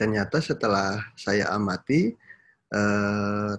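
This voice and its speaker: Recorded very cleanly against a silent background, a man talks in a fairly low pitch. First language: Sundanese (speaking Indonesian). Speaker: university lecturer. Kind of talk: lecture. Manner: frequent hesitation fillers.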